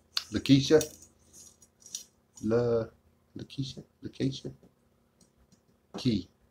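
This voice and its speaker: Somewhat breathy and medium-pitched, a man with an American accent speaks at a fairly slow pace with ordinary pitch variation. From Texas. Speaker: livestreamer. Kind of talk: casual chat. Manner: halting.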